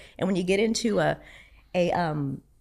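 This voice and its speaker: On a very clean recording with a silent background, a woman speaks with vocal fry. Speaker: church administrator, marriage class teacher. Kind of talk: casual chat. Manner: animated.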